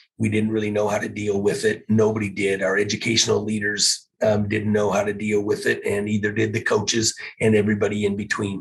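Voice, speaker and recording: A man with an American accent talks at a fairly quick pace in a somewhat breathy voice. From US Pacific Northwest. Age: 60s. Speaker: teacher and football coach. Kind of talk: interview conversation. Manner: hesitant, many fillers.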